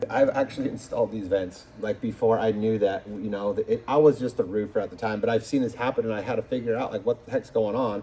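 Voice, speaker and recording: A man's medium-pitched voice, dark and mellow, at a very fast pace with hardly any pauses. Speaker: roofing contractor. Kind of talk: phone call with client. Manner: animated.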